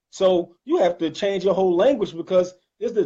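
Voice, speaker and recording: A man speaks very fast in a Detroit accent, his pitch high. His intonation is lively. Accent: northern US, Detroit. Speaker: Islamic channel host. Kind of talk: casual chat.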